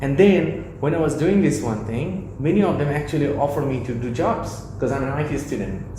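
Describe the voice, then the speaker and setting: A man's medium-pitched voice with a non-native accent, lively intonation and a moderate pace, amid noticeable background noise and audible room echo. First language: not English. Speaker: mentor. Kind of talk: interview. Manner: halting.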